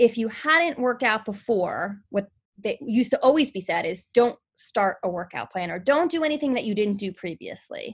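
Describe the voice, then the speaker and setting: Against a quiet background, a woman with a New York accent speaks at a moderate pace, her fairly high voice carrying lively intonation. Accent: New York area. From New Jersey. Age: 30s. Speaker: personal trainer. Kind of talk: casual interview chat.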